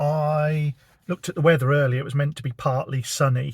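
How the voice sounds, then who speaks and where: In a southern English accent, a man with a fairly high pitch and ordinary pitch variation talks at a moderate pace in a relaxed, somewhat breathy tone, the sound dry and close with no echo. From southern England. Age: 50s. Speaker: vlogger. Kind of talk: casual vlog narration. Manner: relaxed, with fillers.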